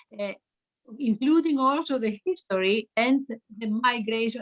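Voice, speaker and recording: A woman's voice comes across somewhat breathy. She talks at a moderate pace with ordinary pitch variation. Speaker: gender studies academic. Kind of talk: online lecture discussion. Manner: halting, many fillers.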